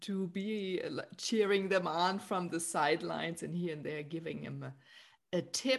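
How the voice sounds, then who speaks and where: A woman with a normal speaking voice talks at a fairly slow pace and medium pitch against a quiet background. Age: 50s. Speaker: podcast host and spiritual guide. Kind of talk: casual interview chat. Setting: remote call.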